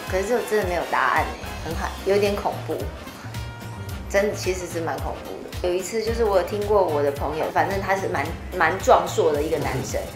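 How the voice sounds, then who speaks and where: Clear music plays in the background. Over it, a woman speaks at a fairly quick pace. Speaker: singer. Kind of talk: interview answer. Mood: animated storytelling, slightly spooked. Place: meeting room.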